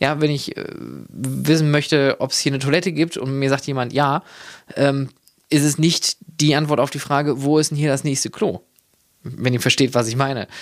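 Pitched fairly high, a man talks at a moderate pace with fairly even intonation. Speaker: podcast host and leisure park consultant. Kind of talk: solo monologue. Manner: halting, many fillers.

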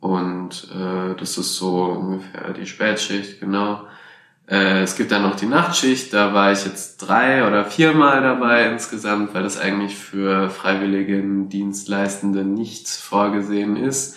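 Spoken at a very slow pace with ordinary pitch variation, the voice carries audible room echo. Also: man, fairly low pitch for a man. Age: 20s. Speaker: hospital volunteer. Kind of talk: interview. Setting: hospital.

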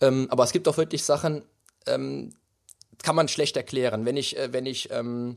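Moving at a moderate pace, a man speaks in a fairly high pitch. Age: 30s. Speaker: bodybuilding champion and personal trainer. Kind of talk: interview. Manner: animated.

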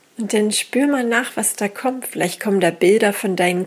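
The tone is calm and soothing. Noticeable background noise can be heard. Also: woman. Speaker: meditation guide and teacher. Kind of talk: guided meditation. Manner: very slow, calm, soothing, with long pauses; intuitive, gentle, unhurried.

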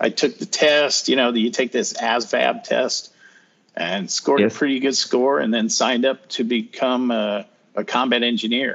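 A man speaks with a General American accent in an unremarkable speaking voice. His pitch is medium, with ordinary pitch variation. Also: moderate pace. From northern Colorado. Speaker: retired army sergeant. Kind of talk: casual interview.

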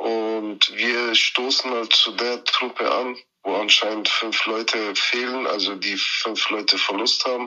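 Very slow, monotone, flat speech from a man at a medium pitch. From Germany (Bavaria), Turkish parents. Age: 30s. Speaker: volunteer soldier. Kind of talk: interview and voice messages. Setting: phone call.

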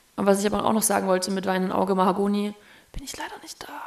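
Over noticeable background noise, a woman speaks at medium pitch. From Thuringia, Germany (Erfurt). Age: 30s. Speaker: DJ and musician. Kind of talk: casual chat.

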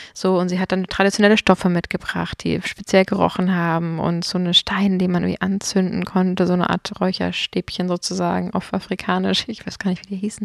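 A woman talks at a fairly quick pace with hardly any pauses, her pitch medium. The sound is dry and close, with no echo. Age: 30s. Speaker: podcast host. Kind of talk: casual chat. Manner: animated.

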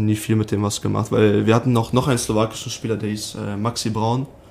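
Delivered at a moderate pace in a monotone, flat intonation, the speech comes with noticeable background noise. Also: man. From western Germany, Sauerland near Dortmund (NRW). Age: 20s. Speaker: professional ice hockey player. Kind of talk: podcast interview.

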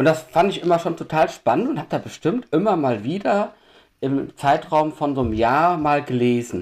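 An ordinary speaking voice from a man at a moderate pace, with lively intonation. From Düsseldorf, western Germany. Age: 40s. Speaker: homebrewer. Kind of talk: casual chat.

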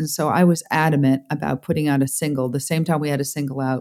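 A woman with a New York accent, very deep and low in pitch, with fairly even intonation and a fairly quick pace, on a very clean recording with a silent background. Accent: New York American. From upstate New York, US. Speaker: music business executive. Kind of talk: interview.

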